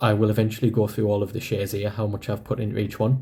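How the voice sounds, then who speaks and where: A somewhat breathy man with a northeast English accent, a dark, mellow tone and a fairly low pitch. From northeast England. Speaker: personal finance vlogger. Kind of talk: casual vlog explanation. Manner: conversational.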